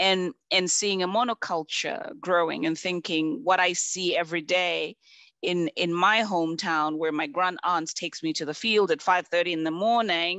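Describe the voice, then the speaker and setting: A woman with a Zambian accent, fairly low in pitch, at a moderate pace with ordinary pitch variation. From Zambia (rural). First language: Bemba. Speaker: conservation expert, panelist. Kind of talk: panel discussion. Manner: repetitive, many false starts.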